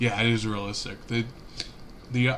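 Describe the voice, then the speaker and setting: With a Cincinnati accent, a man talks fairly quickly at medium pitch and fairly even intonation, with audible room echo. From Cincinnati, Ohio, US Midwest. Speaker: gaming streamer. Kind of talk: casual live-stream commentary. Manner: casual, halting with fillers.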